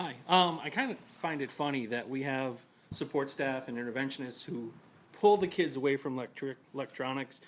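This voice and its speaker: Mumbling, a man talks at a fairly quick pace, his pitch fairly high with ordinary pitch variation. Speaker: parent speaking at public comment. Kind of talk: public comment. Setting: school board meeting.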